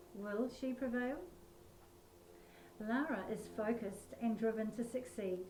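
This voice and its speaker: A woman with an Australian accent speaks at a fairly slow pace, her pitch varying in an ordinary way, with audible room echo. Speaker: author. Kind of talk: reading aloud; casual chat.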